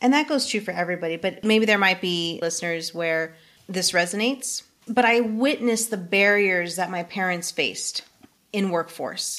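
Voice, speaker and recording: A woman with a medium-pitched voice talks at a moderate speed, her pitch moving in an ordinary way. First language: not English. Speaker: community college vice president. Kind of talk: interview.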